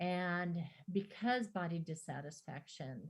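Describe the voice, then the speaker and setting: Somewhat breathy, this woman's voice is very deep and low, with ordinary pitch variation. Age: 60s. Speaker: therapist, guest speaker. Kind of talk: talk with slides to a women's group. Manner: hesitant, with fillers and restarts.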